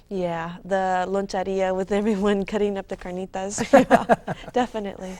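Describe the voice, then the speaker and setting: A woman with a Californian accent speaks at a moderate pace and medium pitch, her intonation monotone and flat. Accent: Californian American English. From California, US. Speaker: author. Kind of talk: interview.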